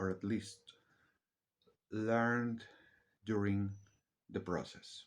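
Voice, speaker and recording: The speaker has a non-native accent and a monotone, flat intonation. Delivery is very slow, with long, frequent pauses. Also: man, fairly low pitch for a man. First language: not English. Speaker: vlogger. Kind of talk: casual monologue. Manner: halting.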